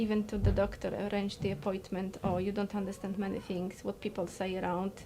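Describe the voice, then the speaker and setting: A woman speaks in a Polish accent at medium pitch. Her voice is somewhat breathy. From Poland. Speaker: interviewee. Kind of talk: interview. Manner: halting, repeated words.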